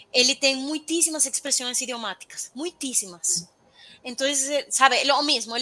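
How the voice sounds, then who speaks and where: Her voice raised and projected, a woman with a Spanish accent speaks at a moderate pace in a high pitch with ordinary variation. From Venezuela. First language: Spanish (speaking Portuguese). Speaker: intercultural expert. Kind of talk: interview.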